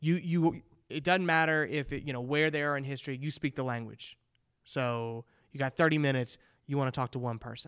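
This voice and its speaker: A man with a plain, everyday voice, fairly high in pitch, fairly quick in pace, with fairly even intonation. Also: very clean recording, silent background. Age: 30s. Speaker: teacher hosting school podcast. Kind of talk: casual interview.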